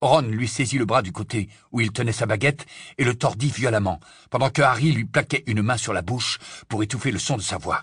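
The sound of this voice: The reading voice sounds unforced, and its pitch varies in an ordinary way.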